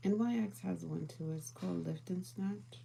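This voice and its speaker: The voice has a calm tone. Audible room echo surrounds it. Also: woman. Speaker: beauty and lifestyle streamer. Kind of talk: casual chat. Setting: live stream. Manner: calm, mellow.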